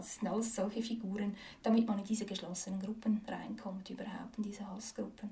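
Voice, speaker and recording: A woman talks at a very fast pace with a fairly high pitch and monotone, flat intonation. Her loudness swings widely, and there is noticeable background noise. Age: 30s. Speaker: activist, former politician. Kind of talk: interview. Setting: her office. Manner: hesitant, many fillers.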